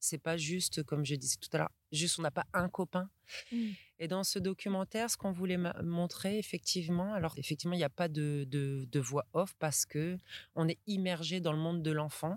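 A woman speaks at a moderate pace with a plain, everyday voice and fairly low pitch for a woman. The very clean recording has a silent background, a dry, close sound with no echo, and very even loudness. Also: ordinary pitch variation. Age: 30s. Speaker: school director and early childhood educator. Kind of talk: interview. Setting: outdoors at the edge of a forest.

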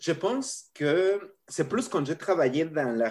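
A man speaking at a very slow pace on a very clean recording with a silent background. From Mexico. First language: Spanish (speaking French). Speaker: professor. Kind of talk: interview.

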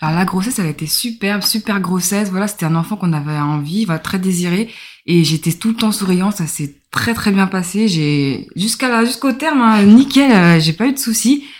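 A woman speaks at a medium pitch and a moderate pace, sounding somewhat breathy. Her intonation is lively, and the recording is very clean with a silent background. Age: 30s. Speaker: mother of a child with a rare disease. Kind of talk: interview testimony.

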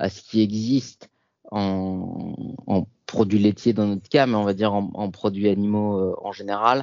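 A man talks at a fairly slow pace. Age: 30s. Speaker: founder of a plant-based cheese brand. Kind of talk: interview. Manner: hesitant, frequent fillers and repetitions.

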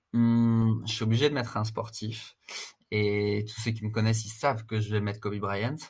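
At a fairly slow pace, a man talks in a somewhat breathy, medium-pitched voice with monotone, flat intonation. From France, Strasbourg. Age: 30s. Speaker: fitness coach and agency founder. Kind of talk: casual interview. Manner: hesitant, many fillers and repetitions.

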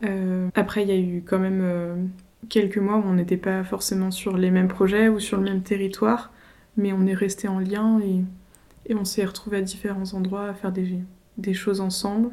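Dark, mellow tone, monotone and flat in intonation, at a moderate pace. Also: woman, medium pitch for a woman. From Paris region (Yvelines), France. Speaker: rural queer collective member. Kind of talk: casual conversation. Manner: hesitant, many fillers.

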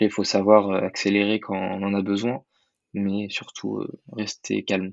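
Monotone, flat intonation at a fairly slow pace. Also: man, fairly low pitch for a man. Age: 20s. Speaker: private detective. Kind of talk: interview.

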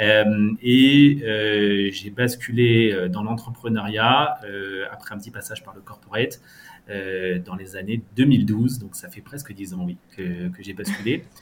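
At a very slow pace, a man with a fairly low pitch speaks with ordinary pitch variation. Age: 30s. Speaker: fintech startup founder and CEO. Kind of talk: interview. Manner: halting.

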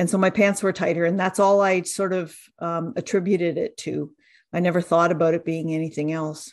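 A woman with a Canadian accent talks at a fairly quick pace and fairly low pitch. Her intonation is monotone and flat, over a quiet background. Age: 60s. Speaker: dietitian and cancer survivor. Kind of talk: interview testimony.

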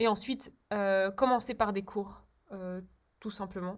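Against a silent background in a very clean recording, a woman speaks at a fairly slow pace. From Belgium, Brussels. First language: Czech (speaking French). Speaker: polyglot, music student. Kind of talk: interview.

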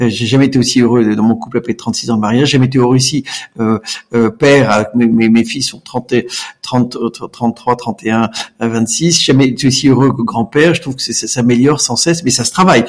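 At a fairly quick pace, a man talks with medium pitch. His pitch variation is ordinary. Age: 60s. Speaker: entrepreneur. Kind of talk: interview. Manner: halting, repeats words; enthusiastic.

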